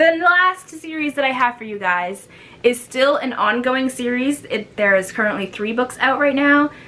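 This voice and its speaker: Over noticeable background noise, a woman speaks at a high pitch and moderate pace in an animated tone, her voice raised and projected. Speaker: booktuber. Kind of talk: casual vlog talk to camera.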